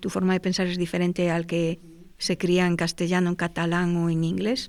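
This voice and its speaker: A woman speaks at a fairly low pitch and moderate pace, with monotone, flat intonation and very even loudness. The recording is very clean, with a silent background. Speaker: panel guest. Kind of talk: panel conversation.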